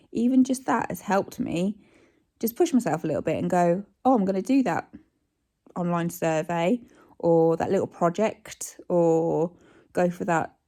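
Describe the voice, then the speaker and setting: In a very clean recording with a silent background, a woman with a British accent speaks at medium pitch and a moderate pace, her dark, mellow tone showing ordinary pitch variation. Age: 40s. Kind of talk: casual vlog talk to camera.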